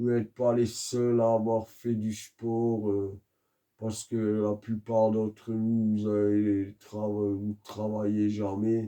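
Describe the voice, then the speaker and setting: Soft-spoken and very slow, a man talks in a dark, mellow tone at a fairly low pitch with monotone, flat intonation. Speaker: YouTuber, religious commentator. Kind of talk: monologue rant. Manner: slow, soft-spoken.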